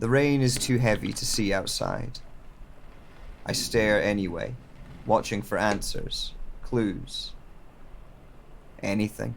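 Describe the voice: Putting on a character voice, a man speaks slowly at a fairly low pitch with vocal fry, leaving long, frequent pauses. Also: lively intonation.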